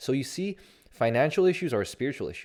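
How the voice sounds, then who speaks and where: A man's animated, very fast voice with very wide pitch swings, on a very clean recording with a silent background. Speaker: life coach. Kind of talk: motivational monologue.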